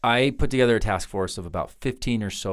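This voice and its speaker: At a fairly quick pace, a man in a Utah accent speaks on a very clean recording with a silent background. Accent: American, Utah. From Ogden, Utah. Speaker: U.S. congressman. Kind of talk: podcast interview answer.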